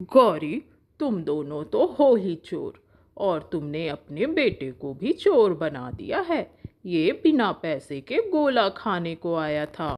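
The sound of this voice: This cartoonish character voice has big pitch swings, a slightly mellow tone and a slow pace. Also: woman, fairly low pitch for a woman.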